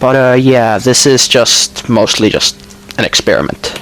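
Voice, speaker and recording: Over noticeable background noise, a man speaks with a Finnish accent. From Finland. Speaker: gaming YouTuber. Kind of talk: voice-over commentary. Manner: hesitant, many fillers. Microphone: poor quality mic.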